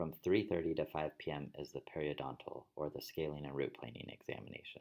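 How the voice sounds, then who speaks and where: Vocal fry runs through this man's very deep, low pitch. He talks at a fairly quick pace with ordinary pitch variation. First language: Spanish. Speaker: dentist and dental educator. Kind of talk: tutorial. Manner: formal.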